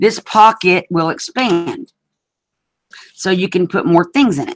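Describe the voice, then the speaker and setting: In a strong Southern accent, a woman speaks fairly slowly at medium pitch with lively intonation, in a dry, close sound with no echo. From US South (Alabama). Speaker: craft video host. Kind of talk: craft tutorial livestream. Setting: video hangout livestream. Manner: casual, chatty.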